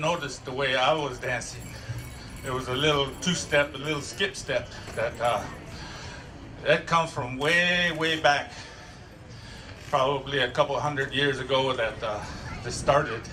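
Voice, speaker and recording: Amid noticeable background noise and audible room echo, a man with a fairly high pitch talks at a fairly slow pace, his intonation fairly even and broken by long, frequent pauses. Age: 60s. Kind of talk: demonstration talk to an audience.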